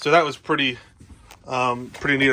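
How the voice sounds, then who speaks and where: A man with a New Jersey accent, a fairly high pitch and a bright, sharp tone, talking at a very fast pace. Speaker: RV vlogger. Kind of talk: casual how-to vlog. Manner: casual, hesitant with many fillers.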